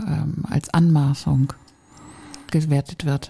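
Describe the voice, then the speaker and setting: A woman's voice with a dark, mellow tone and a somewhat breathy quality. The sound is dry and close, with no echo. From northern Germany. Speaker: podcast co-host. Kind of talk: casual chat.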